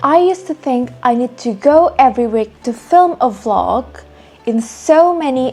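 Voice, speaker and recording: Over music in the background, a woman with a non-native accent and a high pitch speaks at a fairly slow pace. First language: not English. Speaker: beginner YouTuber, travel vlogger. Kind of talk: advice monologue to camera.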